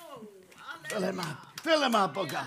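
A man projects his raised voice at an extremely high pitch. Room echo is audible around him. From India. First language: English or an Indian language, not Norwegian (speaking Norwegian). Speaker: healing evangelist. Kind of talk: sermon. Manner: animated.

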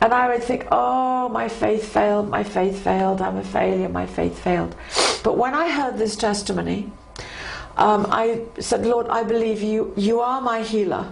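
A woman with a warm, enthusiastic tone at a moderate pace, over noticeable background noise. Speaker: Bible teacher. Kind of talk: devotional teaching.

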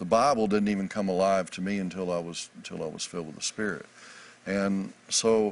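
At a fairly quick pace, a man uses an ordinary speaking voice with fairly even intonation and a fairly low pitch. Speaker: author and minister. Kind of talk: interview about faith.

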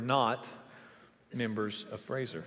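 A man's medium-pitched voice, with fairly even intonation, carries audible room echo. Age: 30s. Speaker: pastor. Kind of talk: sermon. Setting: church.

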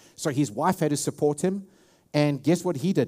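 A man with a South African accent speaks at a fairly quick pace and a fairly high pitch. His tone is dark and mellow, in a very clean recording with a silent background. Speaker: pastor. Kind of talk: sermon. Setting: church.

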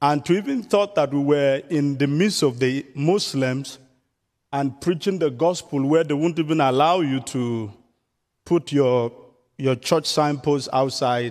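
Pacing himself fairly slowly, a man speaks with a Nigerian accent. His pitch shows ordinary variation. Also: fairly high pitch for a man. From southern Nigeria. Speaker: missionary evangelist. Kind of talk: sermon. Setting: church.

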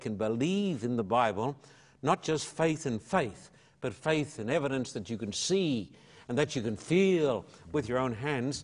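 Speaking at a moderate pace with an Australian accent, a man uses lively intonation. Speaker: evangelist and pastor. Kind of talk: interview testimony. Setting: television studio.

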